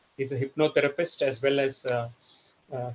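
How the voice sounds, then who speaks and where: A man is speaking. He has a Telugu accent. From India, Karnataka (Bangalore). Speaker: trainer. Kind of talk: presentation. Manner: halting, many fillers.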